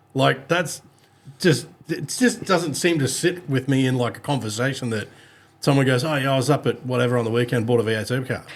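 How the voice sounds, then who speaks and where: A man in an Australian accent speaks at a fairly quick pace, his pitch medium with ordinary variation. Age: 40s. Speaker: podcast host. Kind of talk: casual chat.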